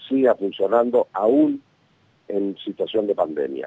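This man's tone is dark and mellow, and his pace is very slow. The sound is dry and close, with no echo. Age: 50s. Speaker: national congressman. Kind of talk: radio interview.

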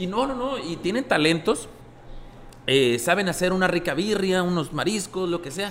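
With noticeable background noise behind him, a man speaks at a moderate pace in a high-pitched voice with lively intonation. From Sinaloa, Mexico. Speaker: restaurant owner. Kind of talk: casual chat.

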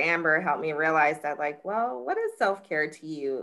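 A woman with an American accent speaks in a very deep, low voice with a bright, sharp tone. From Jacksonville, Florida. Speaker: criminal defense attorney. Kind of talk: testimony.

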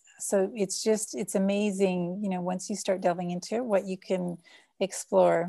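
A woman speaks with a Canadian accent in a dark, mellow tone. The recording is very clean, with a silent background. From Canada. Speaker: social impact consultant. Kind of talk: interview. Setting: call.

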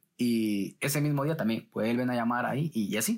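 In a very clean recording with a silent background, a man with a Guatemalan accent speaks at a medium pitch with lively intonation. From Guatemala City. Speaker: journalist. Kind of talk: interview.

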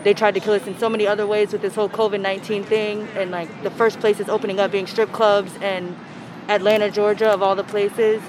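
A woman's medium-pitched voice, monotone and flat, at a fairly quick pace amid noticeable background noise. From Alexandria, Virginia. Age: 20s. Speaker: protester interviewed on the street. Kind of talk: street interview.

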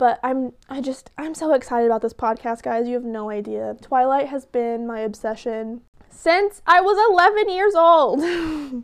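Lively intonation rises and falls in a woman's high-pitched voice with an American accent. She speaks at a fairly slow pace. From Oklahoma. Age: 20s. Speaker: podcast host. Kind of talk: casual chat. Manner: animated.

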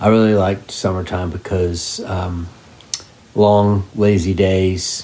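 This man's voice is very deep and low, with fairly even intonation. He speaks at a very slow pace against noticeable background noise. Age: 50s. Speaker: parent interviewee. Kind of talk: casual interview.

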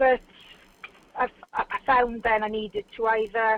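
Recorded with a dry, close sound and no echo, a woman speaks at a fairly high pitch. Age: 40s. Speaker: model. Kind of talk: casual interview. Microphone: phone line, patchy sound.

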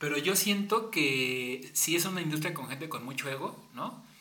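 A man with a Mexican accent speaks in a fairly high pitch with lively intonation, over noticeable background noise and audible room echo. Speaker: podcast host and advertising creative. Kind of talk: casual chat.

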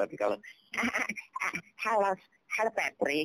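A squeaky, put-on character voice with a fairly high pitch. It speaks at a very slow pace. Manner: cheerful cartoon greeting.

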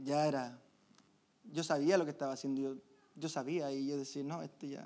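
This man's fairly high voice has a dark, mellow tone and fairly even intonation, moving at a fairly quick pace broken by long, frequent pauses. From Chile. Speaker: church member giving testimony. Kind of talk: testimony.

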